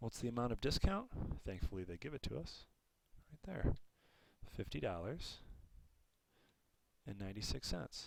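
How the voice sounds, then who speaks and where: Vocal fry runs through this man's medium-pitched voice at a moderate pace. His pitch swings very widely, and he takes long, frequent pauses. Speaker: school math teacher. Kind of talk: tutorial.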